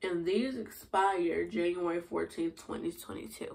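The voice moves at a fairly slow pace, with fairly even intonation, a slightly mellow tone and vocal fry. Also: woman, fairly low pitch for a woman.

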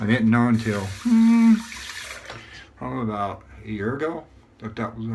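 Over light background noise, a man talks in a relaxed tone with big swings in loudness and long, frequent pauses. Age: 50s. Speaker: YouTuber reviewing shaving gear. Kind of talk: casual vlog monologue with shaving tutorial. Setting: at home, recording himself. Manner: relaxed, filler-heavy. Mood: relaxed, pleased. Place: bathroom. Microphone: phone near.

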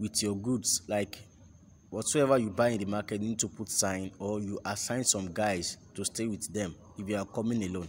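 With light background noise, a man in an ordinary speaking voice talks at a fairly quick pace with ordinary pitch variation. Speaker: market tour guide. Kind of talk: walking tour commentary. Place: market. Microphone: phone near.

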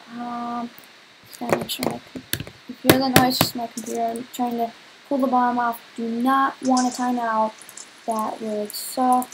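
Light background noise sits under a woman's high-pitched voice. Her intonation is flat and monotone. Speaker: gamer. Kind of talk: gameplay commentary.

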